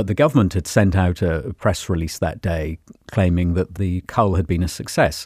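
A man speaks in a very deep, low voice with ordinary pitch variation and a somewhat breathy quality. His pace is moderate, and the sound is dry and close with no echo. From Cornwall. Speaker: former TV news presenter. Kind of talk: interview.

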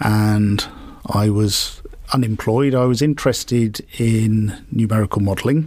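A man with a plain, everyday voice, medium pitch, very even loudness and a fairly slow pace. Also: fairly even intonation. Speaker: marine research lab chief executive. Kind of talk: interview.

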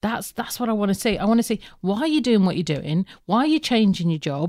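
On a very clean recording with a silent background, a woman talks at a very fast pace. Her fairly high pitch carries lively intonation. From Birmingham. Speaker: recruitment business owner. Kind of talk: casual chat.

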